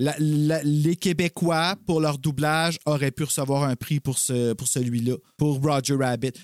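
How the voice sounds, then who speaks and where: A man speaks at a fairly slow pace, his voice dry and close with no echo. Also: fairly high pitch for a man. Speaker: podcast co-host. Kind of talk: casual chat. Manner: animated.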